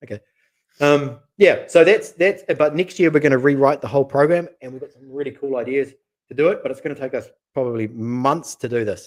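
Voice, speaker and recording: A man with a New Zealand accent at a fairly high pitch and a fairly quick pace, ordinary pitch variation and big swings in loudness. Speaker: matchmaker, channel co-host. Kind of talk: live stream chat. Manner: casual, repetitive fillers.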